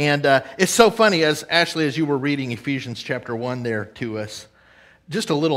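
A man speaks against a quiet background. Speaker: preacher. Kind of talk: sermon. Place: church.

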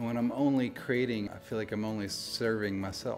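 Music plays in the background while a soft-spoken man talks in a fairly low voice with ordinary pitch variation. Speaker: photographer. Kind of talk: interview answer. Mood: soft spoken, reflective. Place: studio.

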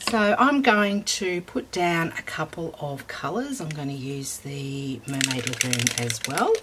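With an Australian accent and a very deep, low pitch, a woman speaks at a fairly slow pace with hardly any pauses and very wide pitch swings, over noticeable background noise. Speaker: craft YouTuber. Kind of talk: tutorial. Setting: home craft room. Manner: casual, with fillers.

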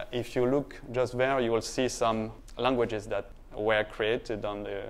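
Monotone and flat in intonation, a man speaks at a moderate pace. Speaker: conference presenter. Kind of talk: conference talk. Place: stage. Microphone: lapel.

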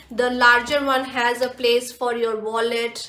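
A woman speaks at a high pitch in a monotone, flat voice, with audible room echo around her. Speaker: lifestyle vlogger. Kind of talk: haul video chat. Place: home room.

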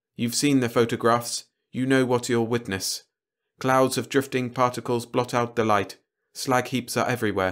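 Quiet surroundings behind a natural reading voice

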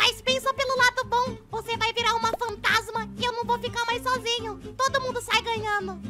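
In a cartoonish character voice, the speaker keeps a moderate pace and a playful tone with hardly any pauses while clear music plays in the background. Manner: playful, boastful.

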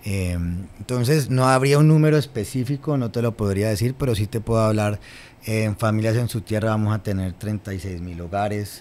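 Speaking at a moderate pace, a man with a plain, everyday voice keeps a fairly low pitch and ordinary pitch variation. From Colombia, Cali (Valle del Cauca); Colombia. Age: 30s. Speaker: government official; guest. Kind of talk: interview; interview answer. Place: studio. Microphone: studio mic.

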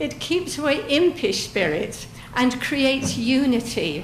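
Speaking very slowly in a high voice, a woman with an English accent is heard with audible room echo and noticeable background noise. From England. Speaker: public commenter at town council meeting. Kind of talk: public comment speech.

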